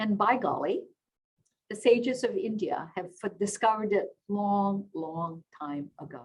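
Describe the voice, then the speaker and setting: Fairly slow in pace, the delivery comes out somewhat breathy. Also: woman. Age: 70s. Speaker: interview host and network founder. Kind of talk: webinar interview.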